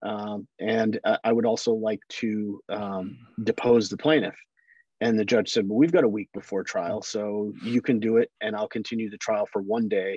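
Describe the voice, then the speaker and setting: A man's fairly low voice with an American accent, at a moderate pace and with fairly even intonation, dry and close with no echo against a quiet background. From Chicago area, Illinois. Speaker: trial attorney. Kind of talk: interview.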